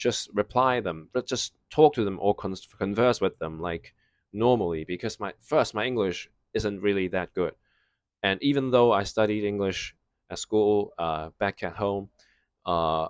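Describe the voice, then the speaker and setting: A man with a non-native accent speaks fairly slowly in a fairly low voice with ordinary pitch variation. The sound is dry and close with no echo, over a quiet background. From Hong Kong. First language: Cantonese. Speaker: vlogger. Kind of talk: casual storytime monologue. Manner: halting, many fillers and restarts.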